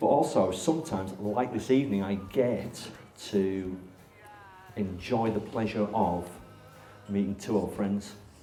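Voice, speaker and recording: Music plays in the background and the room echo is audible. The pace is fairly slow, with long, frequent pauses and ordinary pitch variation. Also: man, fairly low pitch for a man. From northern England, Barnsley. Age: 40s. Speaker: interviewer, therapist. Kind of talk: live interview with audience.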